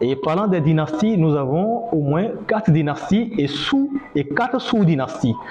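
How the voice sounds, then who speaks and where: A man with a high pitch swings it very widely, heard with audible room echo and noticeable background noise. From northern Benin. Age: 30s. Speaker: griot musician. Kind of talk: lecture.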